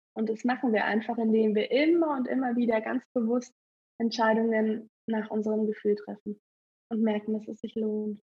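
A woman speaks at a moderate pace with fairly even intonation. Her voice is somewhat breathy and fairly high-pitched. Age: 20s. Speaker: photographer and horse trainer. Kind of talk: interview outtakes.

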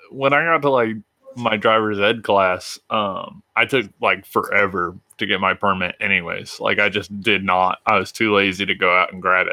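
In an unremarkable speaking voice, a man talks at a fairly low pitch with ordinary pitch variation. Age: 20s. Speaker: podcast co-host. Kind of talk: casual chat.

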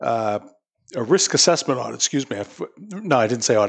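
With lively intonation and a fairly brisk pace, a man talks in an ordinary speaking voice. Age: 60s. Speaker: city mayor. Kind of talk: interview. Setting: studio with live audience.

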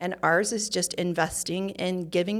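A woman speaks with a Utah accent. Her pitch is fairly low. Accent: Utah American. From Utah, Provo. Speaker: interior design business owner. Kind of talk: interview. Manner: animated.

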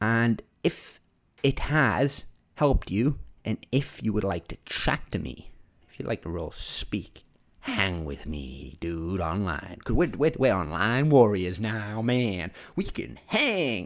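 A man speaks very slowly at a fairly low pitch, with vocal fry and very wide pitch swings. His loudness shifts a lot, and the recording is very clean with a silent background. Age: 20s. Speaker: podcast host, entrepreneur. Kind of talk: solo podcast monologue. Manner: animated.

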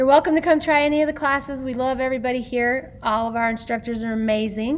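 A woman talks at a very fast pace with hardly any pauses, her pitch high. Noticeable background noise is present. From Utah. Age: 40s. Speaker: fitness instructor and business owner. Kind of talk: interview, personal story. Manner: animated.

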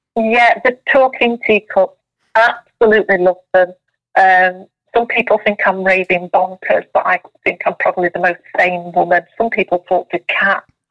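Speaking with a Yorkshire accent, a woman uses a medium pitch, a moderate pace and fairly even intonation. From South Yorkshire, England. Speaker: spiritual medium and tea leaf reader. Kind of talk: casual interview.

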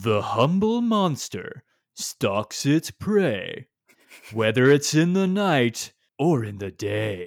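A man's put-on character voice, fairly high in pitch, with very wide pitch swings and a very slow pace. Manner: dramatic, storytelling.

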